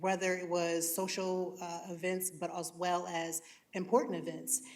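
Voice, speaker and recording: In a room with audible echo, a woman with a fairly low voice speaks at a moderate pace. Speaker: content creator. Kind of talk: panel discussion. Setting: stage with audience.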